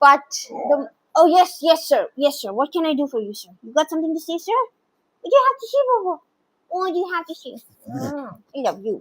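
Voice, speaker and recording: A woman's extremely high voice at a fairly quick pace, with very wide pitch swings, big swings in loudness and long, frequent pauses. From India (Bengali family). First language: Bengali. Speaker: dog content creator. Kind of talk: livestream chat with viewers. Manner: animated.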